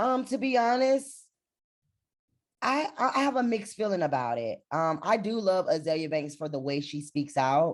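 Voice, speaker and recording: A loud woman talks at a moderate pace, her pitch swinging very widely. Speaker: reality TV personality and motivational speaker. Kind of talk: interview. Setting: video call.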